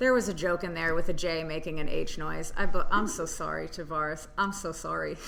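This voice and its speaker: With an American accent, a woman speaks at a fairly quick pace amid audible room echo and noticeable background noise. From Tennessee, US South. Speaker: stand-up comedian. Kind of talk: casual chat. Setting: comedy club room.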